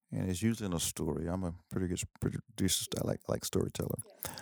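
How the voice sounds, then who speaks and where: A man with a very deep, low pitch and an East Texas accent, at a fairly quick pace. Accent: East Texas Southern US. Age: 60s. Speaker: professor and Air Force veteran. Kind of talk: casual interview.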